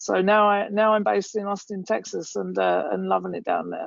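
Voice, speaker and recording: Someone speaks at a very fast pace with an English accent. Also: woman. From England. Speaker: company founder and CEO. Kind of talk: webinar panel talk.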